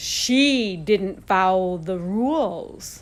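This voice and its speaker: This is a woman with a medium-pitched voice. She is doing a put-on character voice. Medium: read story.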